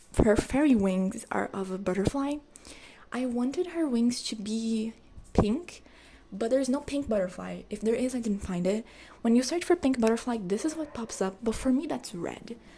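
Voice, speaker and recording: Soft-spoken, a woman talks at a fairly high pitch. Her pace is moderate. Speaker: art youtuber. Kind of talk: casual vlog narration. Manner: hesitant. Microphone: poor audio.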